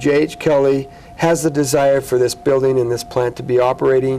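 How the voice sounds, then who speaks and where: A man of medium pitch with an American accent, over noticeable background noise. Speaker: city mayor. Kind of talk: TV interview. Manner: fast.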